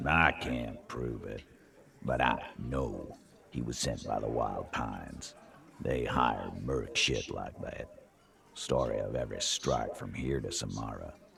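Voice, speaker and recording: Fairly slow put-on character voice from a man, very deep and low in pitch. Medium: game stream. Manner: swaggering, coarse, unrepentant.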